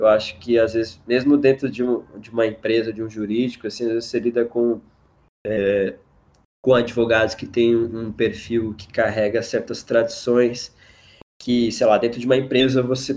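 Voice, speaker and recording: A man talks at a moderate pace with a medium pitch and flat, monotone intonation. His loudness swings widely. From Mato Grosso do Sul, Brazil. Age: 20s. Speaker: lawyer. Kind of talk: casual chat.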